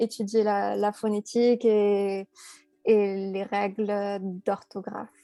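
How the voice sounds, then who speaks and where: A woman of medium pitch speaks very slowly in a dark, mellow tone with monotone, flat intonation. The recording is very clean, with a silent background. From France. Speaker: French teacher and content creator. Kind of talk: interview. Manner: hesitant, many fillers and repetitions.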